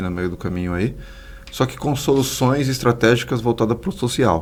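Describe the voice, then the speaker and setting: A man speaks in a normal speaking voice at a moderate pace, his intonation lively. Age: 30s. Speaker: social entrepreneur, institute founder. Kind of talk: podcast interview.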